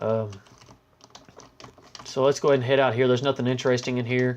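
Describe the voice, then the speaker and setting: The man's voice sits at medium pitch and carries a monotone, flat intonation. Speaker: gaming youtuber. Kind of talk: gameplay commentary. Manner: fast.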